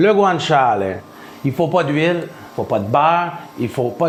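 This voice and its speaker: With a Quebec accent and lively intonation, a man speaks at a fairly slow pace amid audible room echo and noticeable background noise. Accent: Québécois French. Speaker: home cook. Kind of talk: cooking tutorial. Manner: casual, conversational.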